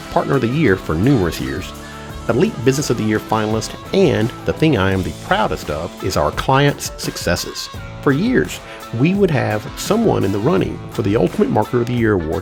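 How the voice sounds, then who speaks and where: Someone with an American accent speaks at a fairly quick pace. Music plays in the background. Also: man. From Mississippi Gulf Coast, United States. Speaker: marketing agency coach. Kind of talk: promotional self-introduction to camera.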